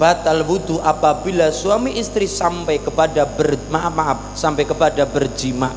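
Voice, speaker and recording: A man at a fairly slow pace against noticeable background noise. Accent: Banyumasan. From Cilacap, Central Java. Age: 20s. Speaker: Islamic preacher. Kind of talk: religious sermon. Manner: entertaining, humorous.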